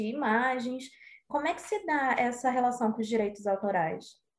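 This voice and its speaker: A woman's high voice, fairly slow, with ordinary pitch variation. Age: 20s. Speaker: student co-host. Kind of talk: interview.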